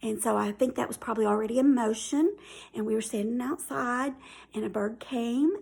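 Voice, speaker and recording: This woman has a Southern US accent. She speaks at a moderate pace with a high pitch. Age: 50s. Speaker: YouTuber. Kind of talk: casual chat. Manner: hesitant, many fillers.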